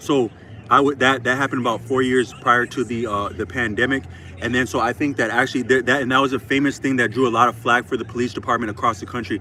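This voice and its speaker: With noticeable background noise, a man with an American accent talks at a very fast pace and medium pitch. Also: fairly even intonation. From Minnesota, Twin Cities. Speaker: YouTuber. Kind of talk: casual monologue. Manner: halting, many fillers.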